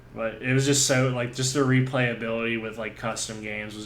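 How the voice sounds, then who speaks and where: With audible room echo, a man talks at a moderate pace and medium pitch in a monotone, flat intonation. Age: 30s. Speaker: gaming podcast host. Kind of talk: casual chat. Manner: halting, many fillers.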